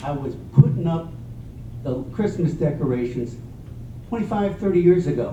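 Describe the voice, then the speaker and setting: Audible room echo and noticeable background noise around a man's fairly high-pitched voice. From Mexico. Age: 60s. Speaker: council candidate. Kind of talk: candidate forum answer.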